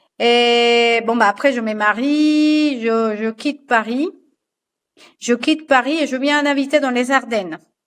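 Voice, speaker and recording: A woman speaks at a very slow pace with a high pitch and ordinary pitch variation, against a quiet background. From Colombia, Barranquilla. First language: Spanish (speaking French). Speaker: fashion designer and patternmaker. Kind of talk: podcast interview. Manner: halting, many repetitions and fillers.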